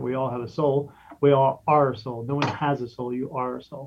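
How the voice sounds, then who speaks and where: At a moderate pace, a man with a fairly high pitch talks in an ordinary speaking voice with fairly even intonation. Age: 50s. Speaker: spirit medium and podcast host. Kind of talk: casual interview.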